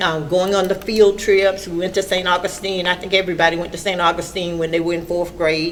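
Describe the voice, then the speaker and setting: A woman with an American accent talks at a fairly quick pace, with hardly any pauses. Her fairly low voice stays monotone and flat over noticeable background noise. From Orlando, Florida. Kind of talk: interview answer.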